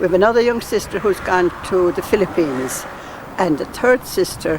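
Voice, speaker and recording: With a Kerry accent, a woman speaks at a moderate pace in a fairly low pitch with ordinary pitch variation. Noticeable background noise runs under her voice. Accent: Irish (Kerry). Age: 70s. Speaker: nun. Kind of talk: casual interview.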